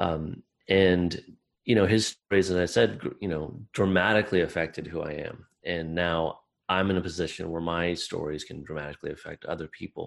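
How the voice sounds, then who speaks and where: A man with an American accent speaks at a very deep, low pitch. The background is quiet. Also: moderate pace. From US Midwest, small-town Iowa. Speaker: novelist. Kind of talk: interview conversation.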